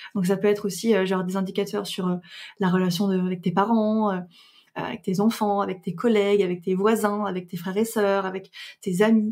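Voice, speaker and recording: Delivered at a fairly quick pace in a flat monotone, the speech comes through on a very clean recording with a silent background. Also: woman, medium pitch for a woman. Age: 20s. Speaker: astrologer and podcaster. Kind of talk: interview conversation. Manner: hesitant with many fillers.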